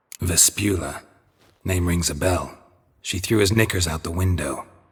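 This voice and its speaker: Using a put-on character voice, a man delivers a deadpan tone at a very deep, low pitch and a moderate pace. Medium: video game. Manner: terse, dry, deadpan.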